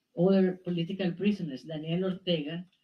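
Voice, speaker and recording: Somewhat breathy speech at a moderate pace. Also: woman. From Nicaragua. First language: Spanish. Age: 70s. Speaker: exiled writer. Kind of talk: public talk.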